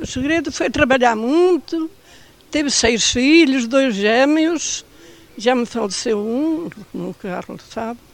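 Speaking very slowly over noticeable background noise, a woman uses a high pitch and lively intonation. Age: 90. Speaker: elderly care-centre resident. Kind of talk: casual chat. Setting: outdoors.

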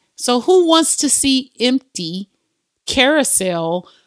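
On a very clean recording with a silent background, a woman sounds animated as her pitch swings very widely. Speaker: podcast host. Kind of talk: devotional teaching monologue; casual chat.

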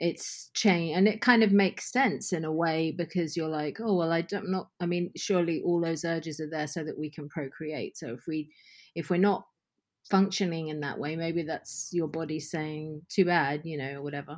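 A plain, everyday voice from a woman, fairly low in pitch, with ordinary pitch variation at a moderate pace, on a very clean recording with a silent background. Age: 50s. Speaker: podcast guest. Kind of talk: casual chat.

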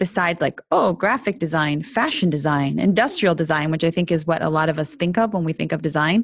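A woman with a normal speaking voice talks at a fairly quick pace over a quiet background. Her pitch is fairly low with ordinary variation. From Canada. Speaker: women's leadership coach and author. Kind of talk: interview.

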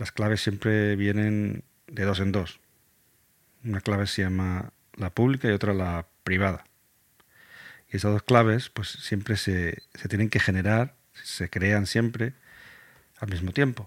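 Dry and close with no echo, the recording catches a man speaking at a fairly slow pace and fairly low pitch, with fairly even intonation and long, frequent pauses. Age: 40s. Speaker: podcast host. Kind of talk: educational explainer. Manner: halting, with repetitions.

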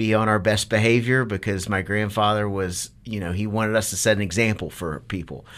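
Keeping a moderate pace, a man talks with fairly even intonation. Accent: American. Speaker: restaurant general manager. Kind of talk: interview.

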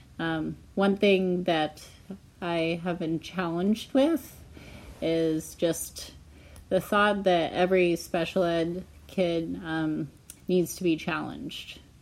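A very slow pace in a Pacific Northwest accent. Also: woman, fairly low pitch for a woman, fairly even intonation. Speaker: elementary school teacher. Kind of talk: interview. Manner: hesitant, many fillers.

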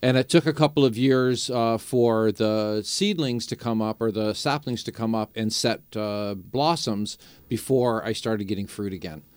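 With a Canadian accent and an unremarkable speaking voice, a man talks at a medium pitch with ordinary pitch variation, a moderate pace and hardly any pauses in a very clean recording with a silent background. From Niagara region, Ontario, Canada. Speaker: native plant grower. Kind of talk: radio interview.

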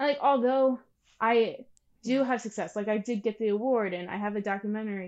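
An unremarkable speaking voice carries an American accent. The intonation is fairly even. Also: woman, fairly high pitch for a woman, fairly quick pace. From Pennsylvania. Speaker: videographer and producer. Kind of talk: interview.

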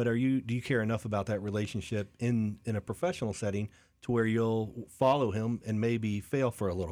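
With a plain, everyday voice and an American accent, a man speaks at a fairly quick pace with medium pitch and fairly even intonation in a very clean recording with a silent background. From Lakeland, Florida. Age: 40s. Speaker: business coach. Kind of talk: interview.

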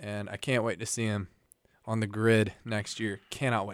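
An ordinary speaking voice from a man, medium in pitch, fairly slow and with fairly even intonation. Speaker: college radio host. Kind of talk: radio DJ patter, playful banter. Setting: campus radio studio. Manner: deadpan, sarcastic.

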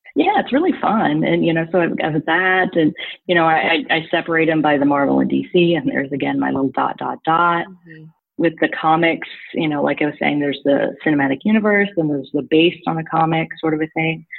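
Music plays behind a woman with an American accent. Her very deep, low voice moves at a fairly quick pace with ordinary pitch variation. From Missouri. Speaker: marketing director and film blogger. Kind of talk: casual interview.

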